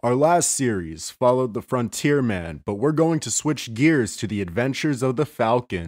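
In a very clean recording with a silent background, a man with an ordinary speaking voice talks at a moderate pace in a medium pitch, his intonation lively. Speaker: radio-style host of sleep channel. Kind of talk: casual radio-style intro.

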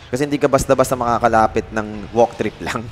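An animated tone moves at a fairly quick pace over noticeable background noise. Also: man. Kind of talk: esports commentary. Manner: animated, fast play-by-play, mixing English and Tagalog.

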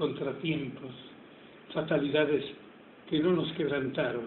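A man's fairly high voice, very slow and fairly even in intonation, with noticeable background noise. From Tucumán, Argentina. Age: 90s. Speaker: poet. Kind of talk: poetry reading. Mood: tender, solemn. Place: home room. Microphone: phone near.

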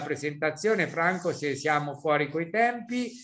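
This man has a plain, everyday voice with a fairly high pitch. He keeps ordinary pitch variation at a moderate pace. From central Italy, Sibillini area. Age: 60s. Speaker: beekeeping professor. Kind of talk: webinar presentation.

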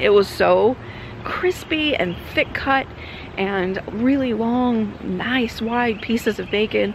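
A woman speaks with very wide swings in pitch and long, frequent pauses. The sound is dry with no echo, over light background noise. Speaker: travel vlogger. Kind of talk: casual vlog chat. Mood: cheerful, chatty food review. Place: street. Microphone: phone near.

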